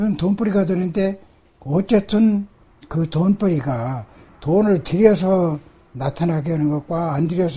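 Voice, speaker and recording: With lively intonation, a man speaks at a high pitch in a dark, mellow tone. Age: 80s+. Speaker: acupuncture and moxibustion master. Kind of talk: interview answer.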